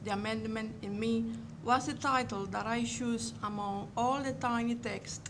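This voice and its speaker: Heard with audible room echo, a woman with a Cuban accent speaks at a moderate pace in a fairly high pitch with fairly even intonation. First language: Spanish. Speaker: museum curator. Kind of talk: lecture.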